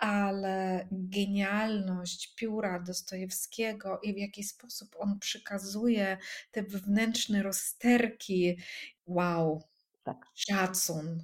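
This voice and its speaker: Speaking at a very slow pace, a woman keeps her intonation fairly even. Her voice is somewhat breathy. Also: medium pitch for a woman. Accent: Russian. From Russian-speaking country. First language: Russian (speaking Polish). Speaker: coach. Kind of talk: casual chat.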